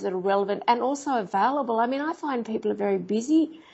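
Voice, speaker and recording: This woman speaks with an Australian accent at a fairly high pitch. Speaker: investigative journalist and TV producer. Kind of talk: interview answer.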